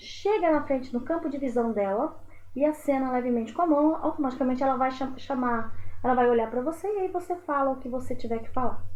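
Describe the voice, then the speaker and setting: Audible room echo surrounds a woman speaking at a fairly quick pace in a high pitch with ordinary pitch variation. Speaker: teacher. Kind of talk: lecture. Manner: animated.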